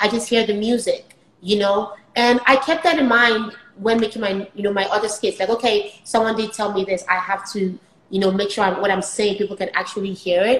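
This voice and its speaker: Against noticeable background noise, a woman speaks at a fairly quick pace. Her voice is fairly high, with fairly even intonation. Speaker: software engineer and skit creator. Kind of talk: casual interview. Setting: live stream. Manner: fast.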